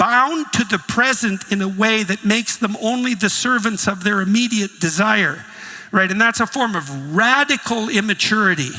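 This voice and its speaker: Over noticeable background noise, a man with a high pitch speaks in a raised, projected voice. His pace is moderate and his pitch varies in an ordinary way. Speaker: psychologist and professor. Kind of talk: lecture talk on philosophy and religion.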